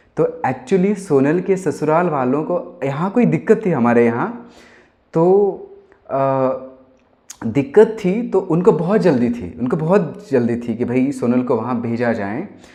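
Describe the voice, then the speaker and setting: A man speaks with a Gujarati accent at a fairly high pitch. His pitch swings very widely. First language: Gujarati (speaking Hindi). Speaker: singer-songwriter. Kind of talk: casual talk to camera. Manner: animated.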